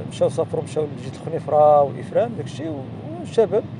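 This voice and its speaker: A man talks at a fairly quick pace, his pitch fairly high. There is noticeable background noise, and the sound is dry with no echo. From Morocco. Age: 60s. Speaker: teacher, novice cyclist; interviewee. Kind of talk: casual interview. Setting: outdoors. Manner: halting. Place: beach.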